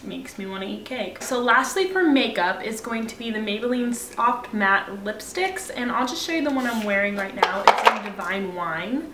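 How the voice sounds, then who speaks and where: There is noticeable background noise as the speaker goes at a moderate pace with ordinary pitch variation. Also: woman. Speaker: beauty vlogger. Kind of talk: casual talk to camera.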